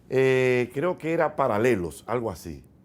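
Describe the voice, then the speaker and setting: A man with a Dominican accent speaks very slowly at a medium pitch, his intonation lively. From Dominican Republic. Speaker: radio host and comedian. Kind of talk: interview answer recounting his career. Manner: relaxed, conversational, storytelling.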